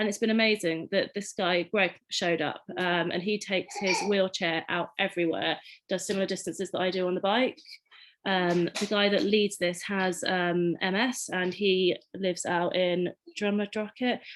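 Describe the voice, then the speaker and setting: A woman with an English accent speaks at a medium pitch and a moderate pace. Her intonation stays fairly even. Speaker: community cycling ride organiser. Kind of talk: panel presentation. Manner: casual with frequent fillers.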